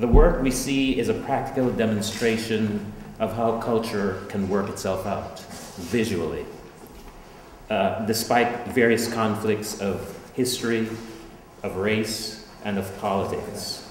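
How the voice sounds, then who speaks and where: Against audible room echo and light background noise, a man talks in a flat monotone at a fairly slow pace, with long, frequent pauses. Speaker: introducer of the artist. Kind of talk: prepared introduction read aloud. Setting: art gallery with audience. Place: hall.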